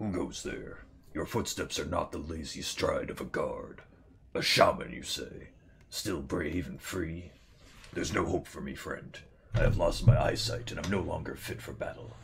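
In a put-on character voice, a man speaks at a moderate pace. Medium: game stream. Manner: bitter, vengeful.

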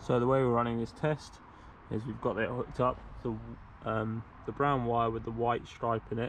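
A man talks at a fairly quick pace. The sound is dry with no echo, with light background noise. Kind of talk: tutorial. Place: garden. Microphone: phone near.

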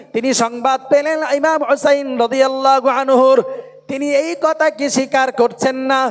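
A man speaks loudly in an extremely high voice with a flat, monotone delivery. Background noise is noticeable throughout. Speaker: Islamic preacher. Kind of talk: sermon. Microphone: poor PA sound.

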